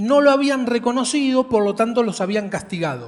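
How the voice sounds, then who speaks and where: The speaker goes at a fairly slow pace with lively intonation. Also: man. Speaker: preacher. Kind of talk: sermon.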